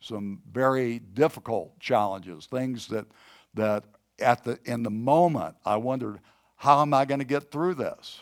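Here is a man with an ordinary speaking voice at medium pitch. He talks at a fairly slow pace with ordinary pitch variation. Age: 60s. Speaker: pastor. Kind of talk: sermon. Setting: church service, streamed online.

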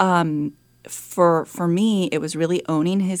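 A plain, everyday voice from a woman with an American accent, fairly low in pitch and fairly slow in pace, on a very clean recording with a silent background. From San Francisco, California. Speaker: chief of staff and former executive assistant. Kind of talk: interview conversation. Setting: studio.

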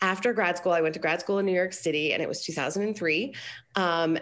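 A woman speaks in a plain, everyday voice with an American accent. Her pitch is fairly low and varies in an ordinary way. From Colorado, US. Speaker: business coach. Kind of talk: casual interview.

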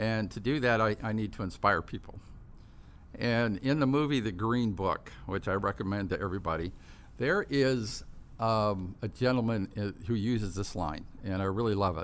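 This man's voice sits fairly low, with normal pitch movement and a medium tempo. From Southern California, Orange County. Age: 60s. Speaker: company CEO and founder. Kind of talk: interview. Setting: studio.

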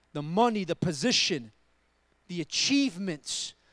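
A man speaks at a moderate pace on a very clean recording with a silent background. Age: 40s. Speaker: guest preacher. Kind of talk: sermon; testimony. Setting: church.

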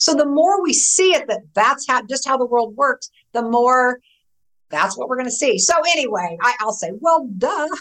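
A woman with a high pitch speaks at a moderate pace with very wide pitch swings. Her tone is animated and enthusiastic. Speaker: author. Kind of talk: casual interview chat. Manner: animated, enthusiastic.

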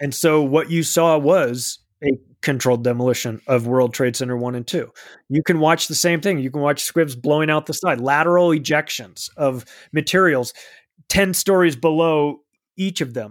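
A plain, everyday voice from a man, fairly high in pitch with ordinary pitch variation, at a moderate pace on a very clean recording with a silent background. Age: 40s. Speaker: author and podcaster. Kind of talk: casual chat.

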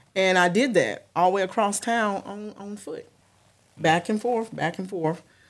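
At a moderate pace and medium pitch, a woman with a plain, everyday voice keeps fairly even intonation but shows big swings in loudness. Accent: American. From Connecticut, New Haven, then North Carolina. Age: 40s. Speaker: police officer. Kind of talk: testimony.

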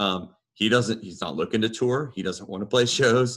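With a very clean recording and a silent background, a man speaks in an unremarkable speaking voice at a moderate pace with fairly even intonation. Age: 30s. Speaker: metal band bassist and vocalist. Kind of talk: casual chat.

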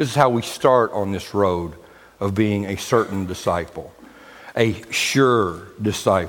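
Over noticeable background noise and some audible room echo, a man talks in a fairly low pitch with ordinary pitch variation. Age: 50s. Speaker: pastor. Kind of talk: sermon.

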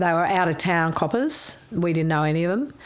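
Over noticeable background noise, a woman talks at a fairly low pitch with an Australian accent. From Melbourne bayside, Australia. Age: 60s. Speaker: interview guest. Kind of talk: casual chat.

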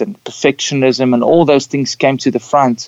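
Speaking at a moderate pace, a man talks at medium pitch. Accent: South African. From Namibia. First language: Afrikaans. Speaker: pastor and singer-songwriter. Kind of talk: casual interview.

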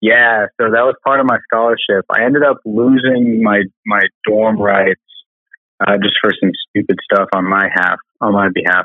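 Using a normal speaking voice, a man with an American accent talks in a medium pitch with fairly even intonation. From US Southwest, Albuquerque, New Mexico. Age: 20s. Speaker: PhD student and biotech founder. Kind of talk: casual interview.

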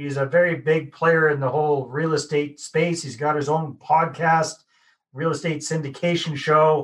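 A man speaks at a moderate pace in a fairly high, somewhat breathy voice with monotone, flat intonation. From Canada. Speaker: podcast host. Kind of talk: podcast interview.

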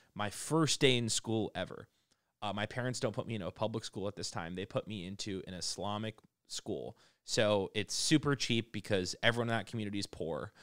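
In a very clean recording with a silent background and a dry, close sound with no echo, a man uses a normal speaking voice with ordinary pitch variation at a fairly quick pace. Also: fairly low pitch for a man. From Massachusetts, near Boston. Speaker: entrepreneur. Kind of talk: casual chat.

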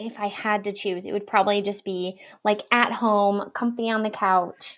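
A woman at medium pitch with an Upper Midwest accent, monotone and flat in intonation, on a very clean recording with a silent background. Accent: Upper Midwest American. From Wisconsin. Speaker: marketing firm owner. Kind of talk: casual chat.

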